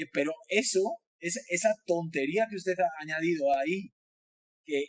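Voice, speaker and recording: A man speaks with a Spanish accent at a high pitch, his pitch moving in an ordinary way. The sound is dry and close, with no echo. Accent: Spanish (Spain). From Spain. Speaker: design professor. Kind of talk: webinar talk. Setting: online webinar. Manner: talkative, many hesitations.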